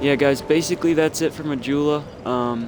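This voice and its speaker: The voice holds a fairly even intonation against noticeable background noise. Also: man. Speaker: gaming YouTuber. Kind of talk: gameplay walkthrough commentary. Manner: halting, many fillers.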